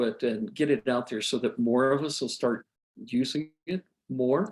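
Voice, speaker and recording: Speaking at a fairly slow pace, a man with a fairly high pitch, an ordinary speaking voice and lively intonation. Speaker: physician presenter. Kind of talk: online medical lecture and discussion.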